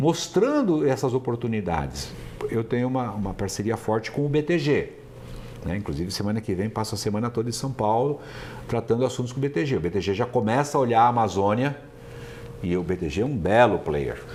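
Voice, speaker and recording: Lively intonation marks a man's medium-pitched delivery in a normal speaking voice. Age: 60s. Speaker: entrepreneur and business founder. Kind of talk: interview. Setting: company office in Manaus.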